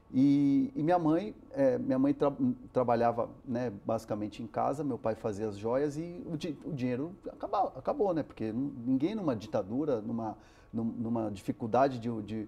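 Speaking at a moderate pace, a man uses ordinary pitch variation. His voice sits at a medium pitch. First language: Spanish (speaking Portuguese). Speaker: sports reporter. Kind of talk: interview. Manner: halting, many repetitions.

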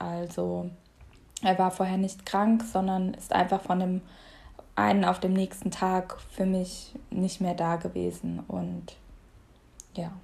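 Her voice is medium in pitch, dark and mellow, and somewhat breathy. The woman's recording is very clean, with a silent background. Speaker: yoga teacher. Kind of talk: casual conversation. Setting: at home in the kitchen.

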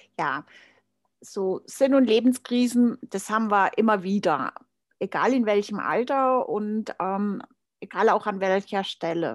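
A woman's fairly high-pitched voice at a very slow pace, with ordinary pitch variation, a dry, close sound with no echo, and a quiet background. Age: 50s. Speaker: life coach. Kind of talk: interview. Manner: hesitant, many fillers.

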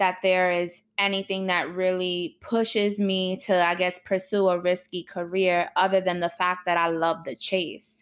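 A woman speaks at a medium pitch and a fairly slow pace, hardly pausing. It is an ordinary speaking voice. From New York City (Harlem). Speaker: media host. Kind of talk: interview. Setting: remote call.

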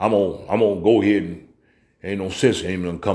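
The intonation stays fairly even as this natural reading voice goes on.

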